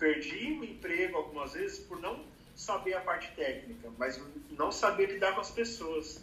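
A man's raised, projected voice, high in pitch, with very wide pitch swings at a moderate pace, amid audible room echo and noticeable background noise. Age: 30s. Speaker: advertising professional. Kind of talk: casual chat.

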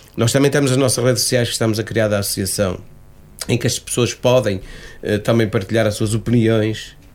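Keeping a very even loudness, a man talks at a fairly quick pace and medium pitch with fairly even intonation. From Portugal, Cinfães area (Piães). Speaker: association president. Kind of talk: radio interview. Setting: radio studio. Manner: halting.

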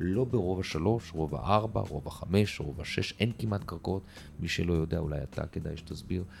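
Lively in intonation, a man speaks at a fairly quick pace with a very deep, low pitch. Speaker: real estate developer. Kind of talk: interview.

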